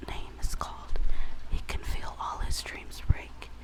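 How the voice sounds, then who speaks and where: Very slow whispering against noticeable background noise. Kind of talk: reading book blurb aloud. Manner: whispered.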